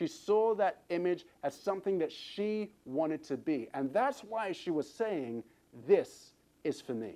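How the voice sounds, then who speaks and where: A man speaks with an English accent. His high voice has a dark, mellow tone. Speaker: fitness trainer. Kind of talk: motivational talk.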